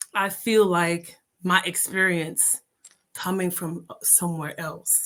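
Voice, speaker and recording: A woman with an American accent and medium pitch. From Jamaica. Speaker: entrepreneur and mother. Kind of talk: podcast interview.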